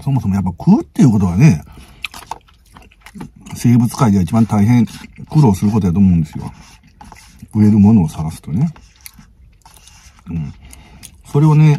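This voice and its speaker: Fairly quick, lively speech from a man at a fairly low pitch, broken by long, frequent pauses, in a dry sound with no echo. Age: middle-aged. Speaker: food vlogger. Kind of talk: casual talk to camera. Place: car. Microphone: phone near.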